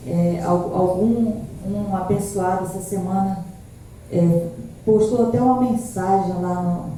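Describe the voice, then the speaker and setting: Soft-spoken and very slow, a woman talks at a medium pitch with ordinary pitch variation, with audible room echo and noticeable background noise. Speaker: pastor and evangelist. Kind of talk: sermon. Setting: church service streamed live.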